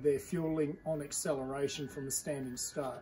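Music plays in the background behind speech with fairly even intonation. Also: man. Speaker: car owner reviewer. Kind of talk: casual review talk. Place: garage. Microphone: phone near.

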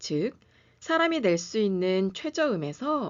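A woman with a medium pitch is speaking. Her pitch swings very widely. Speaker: pianist and music educator. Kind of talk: lecture. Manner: formal.

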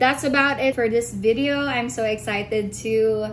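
A woman's fairly high voice at a fairly slow pace, with clear background noise behind it

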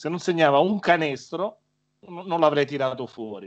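A man talks at a fairly quick pace with a fairly high pitch. The background is quiet. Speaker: former sports press officer; guest. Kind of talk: casual chat. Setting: video call. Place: home room. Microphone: video call.

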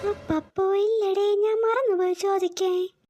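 A woman uses a squeaky, cartoonish character voice. She speaks at a fairly slow pace. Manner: nervous, stammering.

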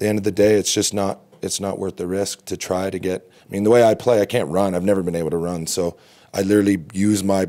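A man with a fairly low voice and a dark, mellow tone speaks at a fairly quick pace. His intonation is fairly even, and the background is quiet. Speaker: lacrosse coach. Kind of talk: interview answer. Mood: reflective, calm. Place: hall. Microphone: podium.

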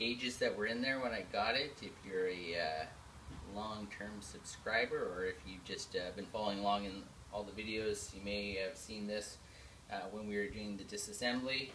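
A man speaks with a fairly low pitch and ordinary pitch variation. His pace is moderate, with light background noise. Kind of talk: casual project vlog explanation. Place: garage. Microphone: camera far.

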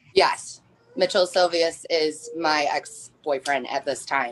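Fairly slow speech from a woman in an American accent. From US Midwest. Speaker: nurse. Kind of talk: testimony. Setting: video call. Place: home room. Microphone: video call.

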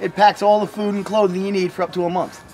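Over light background noise, a man with a New Jersey accent talks at a very fast pace. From northern New Jersey (Sussex County). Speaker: homemade camper builder. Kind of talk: casual chat. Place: garden. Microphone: camera far.

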